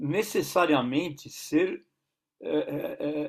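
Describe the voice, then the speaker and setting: This is a man talking. His intonation is lively. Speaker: basketball coach and consultant. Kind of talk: interview. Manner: halting, many repetitions.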